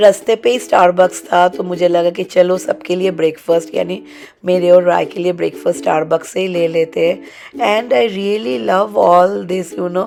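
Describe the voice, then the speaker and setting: Noticeable background noise accompanies a woman speaking at a fairly slow pace. Her pitch is fairly low, with ordinary variation. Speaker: lifestyle vlogger. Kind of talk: casual vlog chat. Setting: outdoors then at home. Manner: chatty, code-switching Hindi-English.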